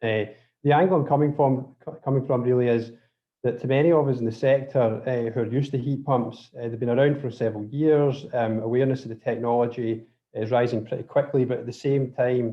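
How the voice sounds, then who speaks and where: With a Scottish accent, a man speaks at a fairly quick pace and a medium pitch. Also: fairly even intonation. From Scotland. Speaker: drilling contractor presenting webinar. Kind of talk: webinar presentation. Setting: online webinar. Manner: hesitant, many fillers and restarts.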